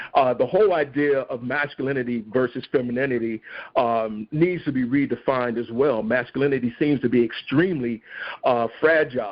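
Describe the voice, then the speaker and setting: Using a normal speaking voice, a man talks at a fairly quick pace with a medium pitch and fairly even intonation. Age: 60s. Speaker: stage actor. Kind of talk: podcast interview.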